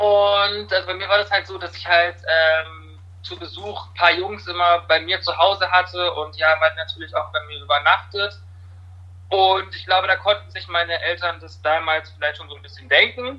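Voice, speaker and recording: A man speaks at a moderate pace, with big swings in loudness. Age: 20s. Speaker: fitness studio service worker. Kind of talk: casual chat. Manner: hesitant, many fillers.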